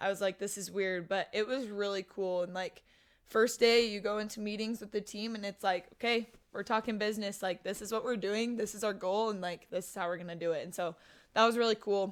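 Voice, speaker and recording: A woman talks at a fairly quick pace with a medium pitch. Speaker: college volleyball player. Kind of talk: casual chat. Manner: loud; animated.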